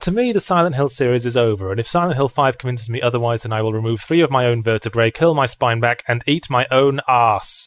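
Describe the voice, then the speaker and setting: Talking at a very fast pace with hardly any pauses, a man with an English accent uses a medium pitch and ordinary pitch variation, and the sound is dry and close with no echo. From England. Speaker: video game critic. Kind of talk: scripted narration.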